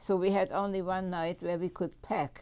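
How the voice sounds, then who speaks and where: A woman with a German accent speaks at a fairly slow pace in a fairly low voice, her tone dark and mellow with ordinary pitch variation, on a very clean recording with a silent background. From Germany, Munich. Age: 90s. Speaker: Holocaust survivor. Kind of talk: testimony. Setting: public library talk. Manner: halting, many fillers and repetitions.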